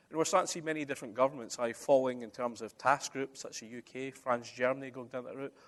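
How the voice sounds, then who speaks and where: Talking at a very fast pace, a man with a Scottish accent holds a medium pitch. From Scotland. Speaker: conference speaker, construction digitisation expert. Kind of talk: conference presentation. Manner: conversational, uses many fillers.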